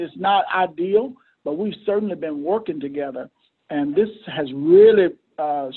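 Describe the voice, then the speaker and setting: A man with a Southern US accent talks at a moderate pace, his pitch high and his intonation lively. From Mississippi. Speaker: mayor and pastor. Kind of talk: interview.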